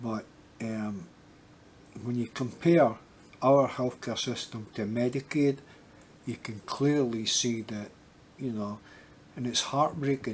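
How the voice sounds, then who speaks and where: Speaking with an American accent at a medium pitch, a man goes at a very slow pace, with long, frequent pauses. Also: fairly even intonation. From Scotland. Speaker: YouTuber. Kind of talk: casual vlog update. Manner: halting, many fillers and repetitions.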